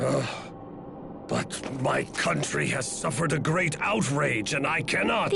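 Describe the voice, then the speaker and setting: In a put-on character voice, a man talks fairly slowly at a fairly high pitch. Loud background noise is present. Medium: game stream. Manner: blustering, commanding.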